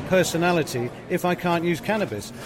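A man talks in a high pitch. Noticeable background noise runs behind him. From England. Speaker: cannabis activist. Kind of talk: interview.

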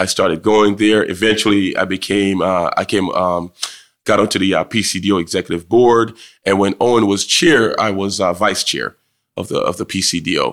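Very cleanly recorded against a silent background, a man with an American accent speaks at a moderate pace, his pitch fairly low and his intonation fairly even. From Jamaica, rural hills, then Trenton, New Jersey. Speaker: town councilman and lawyer. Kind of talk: interview. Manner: halting.

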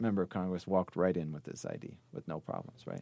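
The sound is dry and close with no echo as a man talks with an American accent. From Chicago, South Side. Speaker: sociology professor. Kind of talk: interview.

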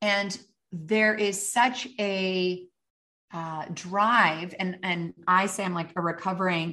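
A woman's medium-pitched, bright, sharp voice with a Canadian accent, fairly even intonation and a very slow pace. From western Canada. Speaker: author and leadership speaker. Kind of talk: interview.

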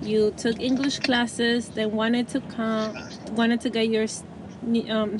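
A woman speaks at a moderate pace in a fairly high voice, with noticeable background noise behind her. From immigrant to US. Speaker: podcast host. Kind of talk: interview; scripted intro.

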